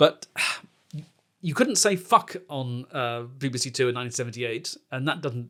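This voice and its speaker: With an English accent, the voice has a bright, sharp tone and ordinary pitch variation. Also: man, medium pitch for a man, moderate pace. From England. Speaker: comedy podcast host. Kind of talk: casual chat.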